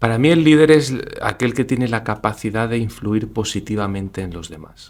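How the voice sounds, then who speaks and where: A man at medium pitch speaks at a moderate pace with lively intonation. His loudness swings widely. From Spain, Granada. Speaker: business executive and leadership lecturer. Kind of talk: interview.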